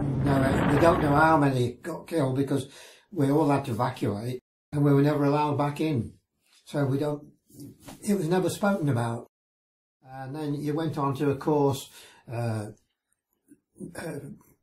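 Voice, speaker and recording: A somewhat breathy man speaks at a moderate pace in a fairly high pitch, with fairly even intonation and long, frequent pauses. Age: 80s+. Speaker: war veteran. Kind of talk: interview answer. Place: home room.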